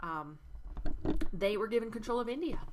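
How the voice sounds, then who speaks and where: Noticeable background noise and audible room echo surround the recording. A woman speaks at a very fast pace. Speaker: history teacher. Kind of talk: recorded lecture review.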